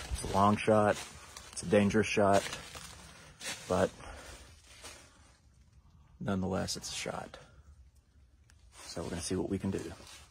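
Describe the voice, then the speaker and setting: A man talks at a moderate pace in a fairly low voice with fairly even intonation. He takes long, frequent pauses over light background noise. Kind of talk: casual vlog chat. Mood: cautious, a bit nervous. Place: forest. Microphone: phone near.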